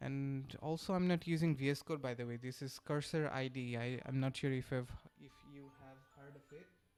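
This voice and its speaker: Moderate pace in a Bengali accent, with music in the background. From Bangladesh. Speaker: software developer streamer. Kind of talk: live coding stream chat. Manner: halting, many fillers.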